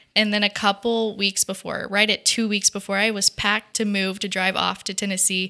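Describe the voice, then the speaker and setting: A woman's bright, sharp voice at medium pitch, flat and monotone, at a fairly quick pace with hardly any pauses, in a dry, close sound with no echo. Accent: American. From US South, Georgia (Dalton) and Texas. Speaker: faith-based ministry worker. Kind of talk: casual interview chat. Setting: studio.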